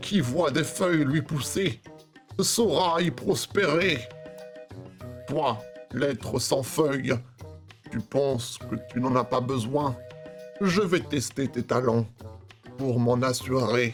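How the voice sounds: A put-on character voice at a low-to-middle pitch moves at a fairly slow pace. Clear music plays in the background.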